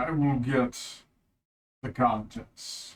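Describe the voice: Here a man puts on a character voice. It sits at a medium pitch.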